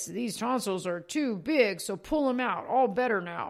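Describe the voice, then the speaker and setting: A put-on character voice, fairly high in pitch, with lively intonation at a moderate pace. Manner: simple, blunt, dim.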